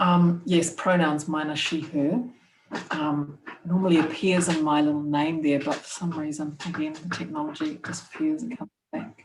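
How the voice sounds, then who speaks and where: A woman speaks with a New Zealand accent and a very deep, low pitch. Her pace is moderate and her intonation fairly even. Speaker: podcast co-host, PhD student. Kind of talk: casual interview. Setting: video call.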